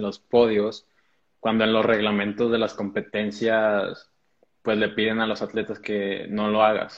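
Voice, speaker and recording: A man speaks in a Mexican accent. His voice is medium in pitch. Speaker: talk series host. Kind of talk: online interview.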